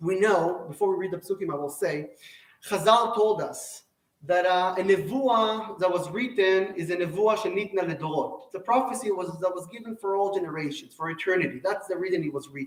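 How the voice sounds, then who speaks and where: A man's high-pitched voice with an Israeli accent, at a fairly quick pace. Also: ordinary pitch variation. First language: Hebrew. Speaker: Torah teacher. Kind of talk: lecture. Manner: halting.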